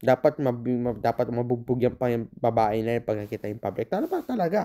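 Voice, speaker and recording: The background is silent in this very clean recording. A woman talks in an animated tone. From Philippines, Ilocos region. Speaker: vlogger. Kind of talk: angry political rant. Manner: animated, cursing outbursts.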